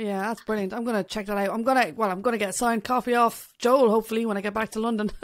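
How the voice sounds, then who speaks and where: Very fast with hardly any pauses, the speaker talks in an Irish accent with fairly even intonation over a quiet background. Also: woman, fairly high pitch for a woman. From Ireland. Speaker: podcast host and bassist. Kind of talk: casual interview. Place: home room. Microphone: studio mic.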